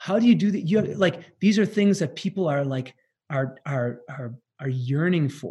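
A man with a fairly high pitch and a dark, mellow tone talks at a moderate pace using lively intonation. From US Midwest (northeast Wisconsin). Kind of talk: interview. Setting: remote call.

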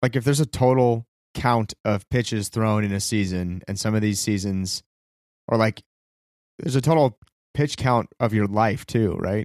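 Captured in a very clean recording with a silent background and a dry, close sound with no echo, a man with a plain, everyday voice speaks at a moderate pace with ordinary pitch variation. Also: fairly low pitch for a man. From California. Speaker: podcast co-host. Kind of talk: casual chat.

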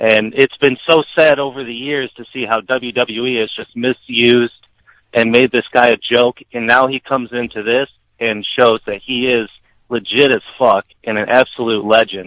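In a normal speaking voice, a man speaks at a moderate pace with a medium pitch and fairly even intonation. His loudness swings widely. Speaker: caller, wrestling fan. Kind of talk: casual chat. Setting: phone call.

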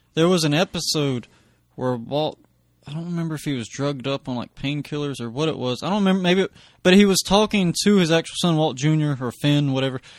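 Speaking at a very fast pace, a man uses a fairly high pitch with ordinary pitch variation. The background is quiet, and the sound is dry and close with no echo. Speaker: comedian guest. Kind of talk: casual chat.

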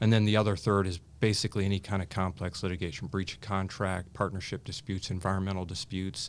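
A man's very deep, low voice at a very fast pace, with fairly even intonation, on a very clean recording with a silent background. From US Midwest, Indiana. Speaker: attorney and cancer survivor. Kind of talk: interview, personal story.

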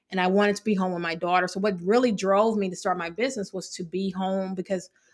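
A woman's medium-pitched voice, very fast in pace, with fairly even intonation. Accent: American. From Evansville, Indiana (Indiana-Kentucky border). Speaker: financial consultant and business owner. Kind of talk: interview conversation.

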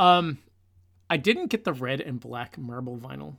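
On a very clean recording with a silent background, a man of medium pitch talks at a moderate pace. He has an ordinary speaking voice with ordinary pitch variation. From Newfoundland, Canada. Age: 40s. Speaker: podcast co-host, music fan. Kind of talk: casual chat.

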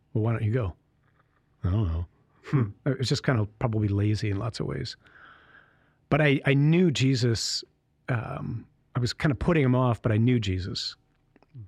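With an American accent and a medium pitch, a man speaks at a moderate pace in a somewhat breathy voice with lively intonation and long, frequent pauses, the sound dry and close with no echo and very clean over a silent background. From Michigan, US. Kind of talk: casual interview, vocation story. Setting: studio.

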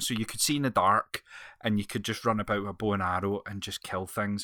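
A man speaks with a Scottish accent on a very clean recording with a silent background. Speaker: podcast host. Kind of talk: casual chat.

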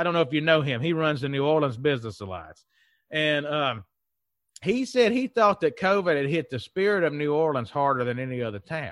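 With a Southern US accent, a man talks at a fairly quick pace in a fairly high pitch, his intonation lively against a quiet background. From Mississippi, US South. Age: 30s. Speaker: economic development consultant and CEO. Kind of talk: casual interview chat.

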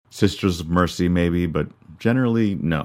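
A soft-spoken man talks at a moderate pace with a Canadian accent. The recording is very clean, with a silent background. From rural Canada. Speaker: podcast host, musician and high school teacher. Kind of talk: personal narration about song background.

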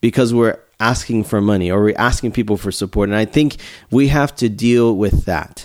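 A plain, everyday voice from a man at medium pitch, moderate pace and ordinary pitch variation, in a very clean recording with a silent background. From Houston, Texas. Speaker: overseas missionary. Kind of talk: casual interview.

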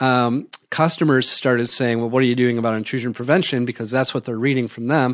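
Over a very clean recording with a silent background, a man talks at a very fast pace with hardly any pauses and fairly even intonation. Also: medium pitch for a man. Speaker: tech company CEO. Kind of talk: interview.

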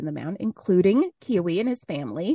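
A woman with an unremarkable speaking voice talks at a fairly quick pace and medium pitch, her intonation lively, the sound dry and close with no echo against a quiet background. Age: 30s. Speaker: podcast co-host. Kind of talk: casual chat.

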